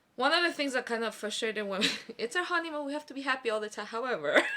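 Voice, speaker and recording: This woman's voice has a bright, sharp tone and very wide pitch swings. She talks at a very fast pace. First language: not Korean (trilingual). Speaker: podcast guest. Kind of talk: casual chat.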